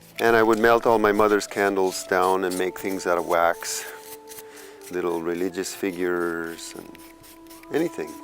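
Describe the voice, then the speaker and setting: Over music in the background, a man with an American accent speaks in a fairly low pitch at a moderate pace, with fairly even intonation and long, frequent pauses. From California, US. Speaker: musician and artist. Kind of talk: documentary interview.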